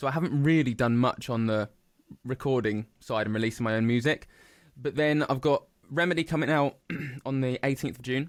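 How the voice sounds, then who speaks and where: At a fairly quick pace, a man speaks at medium pitch with ordinary pitch variation and very even loudness, on a very clean recording with a silent background. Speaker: musician. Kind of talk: casual chat. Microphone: clear studio sound.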